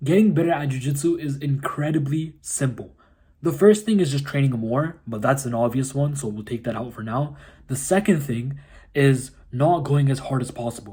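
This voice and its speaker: A man with a fairly high pitch and a dark, mellow tone. His voice is somewhat breathy, with ordinary pitch variation. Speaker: jiu-jitsu content creator. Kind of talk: casual tutorial. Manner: fast.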